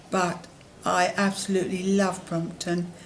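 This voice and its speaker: A woman's medium-pitched, somewhat breathy voice, monotone and flat, at a very slow pace. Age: 70s. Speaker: long-term hospital patient on a ventilator. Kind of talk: interview answer.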